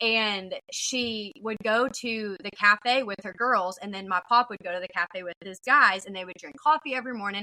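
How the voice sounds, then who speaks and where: With a Southern US accent and a medium pitch, a woman talks at a moderate pace with hardly any pauses, big swings in loudness and ordinary pitch variation, in a dry, close sound with no echo. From Texas, small town near Fort Worth. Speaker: podcast host. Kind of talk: casual chat. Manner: animated.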